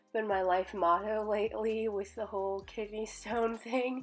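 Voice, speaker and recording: A woman speaks in a flat, monotone way. Music plays behind her. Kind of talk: casual voiceover for a journaling video.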